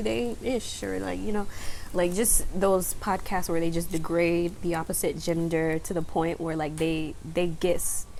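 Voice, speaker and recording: A woman speaks with lively intonation. Both room echo and background noise are noticeable. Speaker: tarot reader. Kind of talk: psychic reading monologue. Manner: fast; casual, informal.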